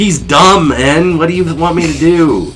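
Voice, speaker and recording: Putting on a character voice, a man speaks at a high pitch and a moderate pace, with fairly even intonation, very even loudness, and clear background noise. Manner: silly, dumbed-down.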